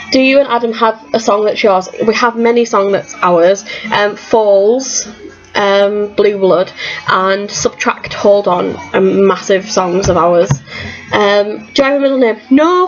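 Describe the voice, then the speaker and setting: With music in the background, a woman speaks in a Teesside accent at a fairly slow pace. Her fairly high pitch rides on lively intonation, and her loudness stays very even. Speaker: vlogger. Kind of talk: casual Q&A vlog.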